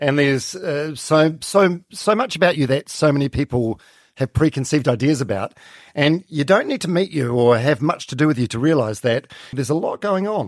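Speaking at a moderate pace with lively intonation and a fairly high pitch, a man with a New Zealand accent is heard in a dry, close sound with no echo on a very clean recording with a silent background. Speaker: podcast host. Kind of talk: interview.

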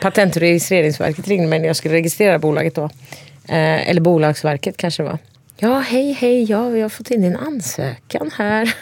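A woman speaks at a fairly low pitch. Noticeable background noise can be heard. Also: lively intonation, moderate pace. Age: 40s. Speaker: podcast guest. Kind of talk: casual chat.

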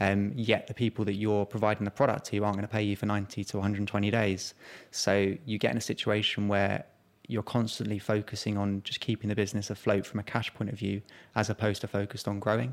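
A man with a London accent speaks very fast in a fairly low, monotone, flat voice. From South East London. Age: 20s. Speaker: startup founder. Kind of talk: interview.

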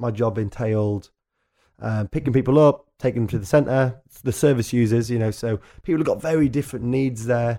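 In a Yorkshire accent, a man with a medium pitch and a dark, mellow tone talks at a fairly quick pace on a very clean recording with a silent background. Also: ordinary pitch variation. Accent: northern English (Yorkshire). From North Yorkshire, England. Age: 20s. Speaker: musician and journalist. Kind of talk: casual chat. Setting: studio.

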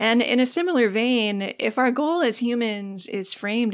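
A woman speaks in a warm tone. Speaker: podcast host and writer. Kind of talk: solo podcast monologue, reflective. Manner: warm, conversational, laughs often.

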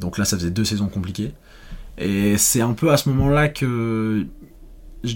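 A man's voice, fairly low in pitch with ordinary pitch variation, moves at a moderate pace. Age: 20s. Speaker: former cross-country skier. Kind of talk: interview. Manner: hesitant.

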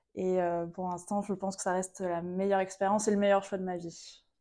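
With a dark, mellow tone, a woman talks at a moderate pace against a quiet background. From western France (Vendée). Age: 20s. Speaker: swimwear brand founder. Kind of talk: casual interview. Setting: studio on a couch.

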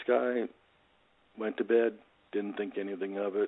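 Fairly quick speech from a man, intonation fairly even. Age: 60s. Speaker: motivational speaker and author. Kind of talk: casual interview, storytelling.

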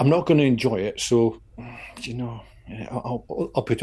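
Somewhat breathy and dark, mellow in tone, a man's voice sits at a medium pitch. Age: 50s. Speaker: podcast co-host, endurance walker. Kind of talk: casual chat.

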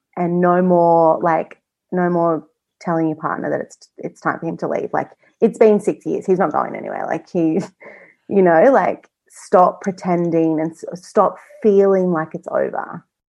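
Her tone dark and mellow, a woman talks at a fairly slow pace. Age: 20s. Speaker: guest sharing personal experience with PMDD. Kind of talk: interview testimony.

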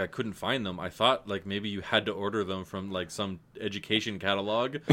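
Noticeable background noise accompanies a man who speaks very fast. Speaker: podcast host. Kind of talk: casual chat. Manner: joking, self-deprecating.

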